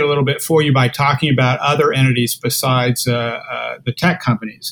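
A somewhat breathy man with an American accent, at a moderate pace and very even loudness. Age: 60s. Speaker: lawyer and internet policy author. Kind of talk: interview.

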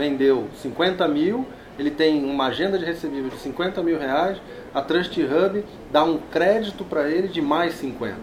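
With noticeable background noise, a man speaks at a fairly high pitch and a fairly slow pace, his pitch varying an ordinary amount. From Rio de Janeiro, Brazil. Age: 40s. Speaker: fintech executive. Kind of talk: interview. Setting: trade fair.

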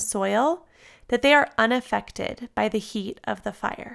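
In an American accent, a woman with a high, warm, gentle voice speaks at a fairly slow pace with ordinary pitch variation on a very clean recording with a silent background. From US West Coast (San Diego, California). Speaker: yoga teacher and devotional podcaster. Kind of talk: devotional reading.

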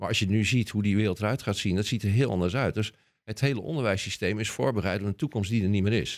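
Over a silent background in a very clean recording, a man with a fairly low pitch speaks with a Rotterdam accent and ordinary pitch variation. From Rotterdam, Netherlands. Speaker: scientist. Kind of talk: casual interview.

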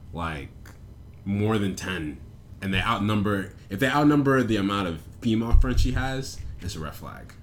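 In a room with audible echo, a man with a fairly low voice speaks with lively intonation, big swings in loudness, and long, frequent pauses. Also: moderate pace. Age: 20s. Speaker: podcast co-host. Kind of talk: casual chat.

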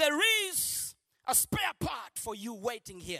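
Over music in the background, a woman with a high pitch uses a raised, projected voice and an animated tone, the sound dry and close with no echo. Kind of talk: sermon. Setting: church with congregation. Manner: emphatic and rhythmic, driving points home by repetition.

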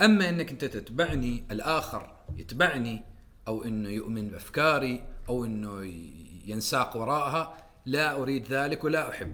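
Here is a man with an ordinary speaking voice at medium pitch. He talks at a fairly slow pace with lively intonation. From Oman. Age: 30s. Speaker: writer and poet. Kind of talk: casual chat.

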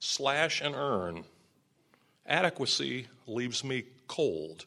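A man talks with lively intonation and vocal fry. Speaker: experimental poet and retired professor. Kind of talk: poetry reading. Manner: staccato fragments.

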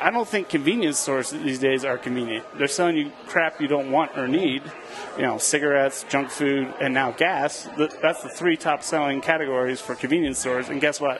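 Over noticeable background noise, a man with an American accent speaks at a fairly high pitch and a moderate pace, with ordinary pitch variation. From Philadelphia, US. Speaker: grocery market owner. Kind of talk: casual chat. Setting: studio kitchen.

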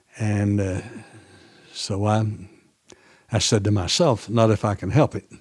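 A man with an Appalachian accent speaks at a fairly low pitch and a fairly slow pace, with fairly even intonation and long, frequent pauses. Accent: Southern US, Appalachian. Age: 80s. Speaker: farmer and seed saver. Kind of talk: interview. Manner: halting.

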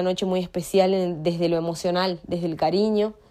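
Noticeable background noise is heard as a woman speaks. Her pitch is medium and her pace fairly quick. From Argentina, Paraná (Entre Ríos). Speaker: fan giving testimony. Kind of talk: recorded testimony.

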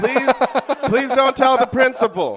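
There is noticeable background noise. Over it, a man talks with an extremely high pitch. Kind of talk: parody infomercial ad, comedic sales pitch in character. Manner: fast, hammy used-car-salesman pitchman patter, excitable and over-eager; deadpan absurdity with nervous, rambling asides.

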